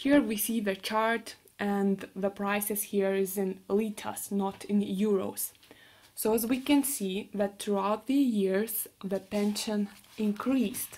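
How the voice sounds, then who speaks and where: With a Lithuanian accent, the speaker goes at a very slow pace with fairly even intonation. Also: woman, medium pitch for a woman. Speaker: university student. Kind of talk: class presentation.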